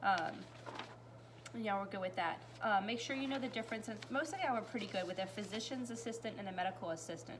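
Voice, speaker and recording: With an American accent, a woman talks at a very fast pace in a medium-pitched voice with lively intonation, amid noticeable background noise and audible room echo. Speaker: high school health science teacher. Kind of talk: recorded class recap lecture. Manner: casual, filler-heavy.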